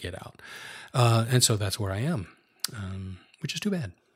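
A man with an American accent, somewhat breathy and fairly low in pitch, at a moderate pace in a very clean recording with a silent background. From US Northeast, outside New York City. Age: 60s. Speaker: retired AV technician. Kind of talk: interview.

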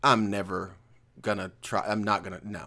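This man's voice is animated, with a bright, sharp tone. The recording is very clean and the background silent. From Northwest Alabama. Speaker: podcast host. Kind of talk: casual chat. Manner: animated, excitable.

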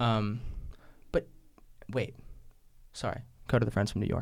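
A man talks at a fairly quick pace with a medium pitch and vocal fry. His intonation stays fairly even. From New Mexico, Taos. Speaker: student musician and poet. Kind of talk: casual interview.

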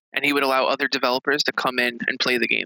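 With a normal speaking voice, a man talks at a fairly quick pace at medium pitch, his intonation fairly even, the sound dry and close with no echo. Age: 30s. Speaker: author and game journalist. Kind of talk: casual interview.

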